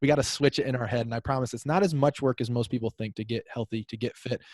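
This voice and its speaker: A man speaks at a very fast pace, his voice somewhat breathy and medium in pitch. The sound is dry and close with no echo, and his intonation stays fairly even. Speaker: men's health coach. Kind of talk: interview.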